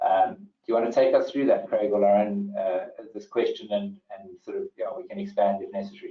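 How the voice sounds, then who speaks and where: Speaking at a fairly quick pace with hardly any pauses, a man with a South African accent swings widely in loudness. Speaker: webinar host, property company manager. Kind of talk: webinar moderation. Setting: online webinar call. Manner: hesitant, many fillers and repetitions.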